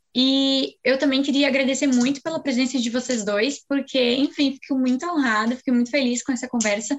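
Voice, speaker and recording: At a fairly quick pace and with hardly any pauses, a woman speaks in a high voice. Her intonation stays fairly even and her loudness very even. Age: 19. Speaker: student podcast host. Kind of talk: casual interview chat.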